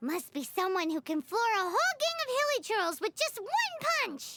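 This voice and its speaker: A female-sounding, cartoonish character voice moves at a moderate pace. It sits at an extremely high pitch for a woman with very wide pitch swings. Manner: bubbly, speaks of herself in third person.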